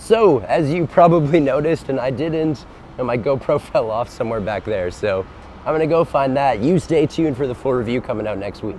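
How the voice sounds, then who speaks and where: Over noticeable background noise, this voice moves at a fairly quick pace with lively intonation. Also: man, fairly high pitch for a man. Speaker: motorcycle reviewer. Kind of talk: ride vlog. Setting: outdoors on a motorcycle.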